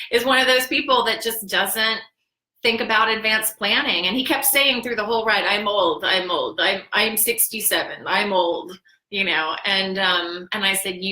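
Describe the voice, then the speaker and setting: In a Midwestern American accent, the speaker has an animated tone and ordinary pitch variation. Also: woman. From Ohio (Dayton). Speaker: death planning consultant and vlogger. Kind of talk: casual livestream chat. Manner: chatty, animated.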